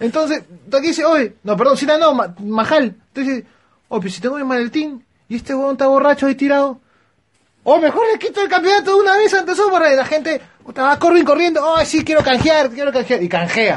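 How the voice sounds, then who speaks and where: At a very fast pace, a man speaks with an extremely high pitch. His tone is animated and his intonation lively. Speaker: wrestling podcast host. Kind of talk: casual chat.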